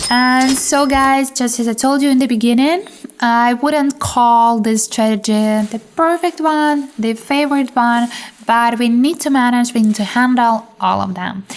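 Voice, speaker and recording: A woman's high voice with ordinary pitch variation, a fairly slow pace, and noticeable background noise. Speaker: trading channel host. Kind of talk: trading tutorial with live commentary. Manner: low-key, not very emotional.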